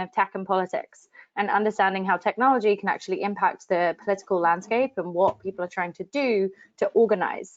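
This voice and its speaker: With a London accent, a woman talks at a fairly quick pace. Her pitch is medium. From London, England. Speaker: digital strategy director. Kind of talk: webinar presentation.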